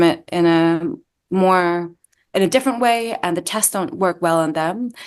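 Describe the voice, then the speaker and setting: Against a quiet background, a woman with an American accent talks at a moderate pace in a medium pitch with ordinary pitch variation. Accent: partially American. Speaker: doctor and medical researcher. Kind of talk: interview. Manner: hesitant, with fillers.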